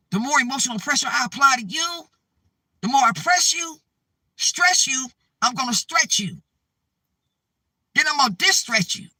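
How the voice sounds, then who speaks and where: A man speaks in an extremely high pitch with a raised, projected voice, a bright, sharp tone, an animated tone and lively intonation. Long, frequent pauses break up his speech. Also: moderate pace. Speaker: spiritual vlogger. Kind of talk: spiritual talk to camera.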